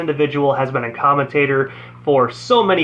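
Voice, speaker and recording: Fairly high-pitched male voice, upbeat in tone and fairly quick, with noticeable background noise. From Ontario, Canada. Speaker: radio host. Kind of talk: radio show hosting.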